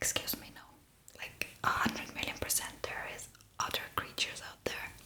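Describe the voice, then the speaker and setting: Whispering in a relaxed tone comes through over noticeable background noise. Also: woman. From Estonia. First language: Estonian. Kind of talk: ASMR makeup ramble. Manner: whispered; soft-spoken, relaxed.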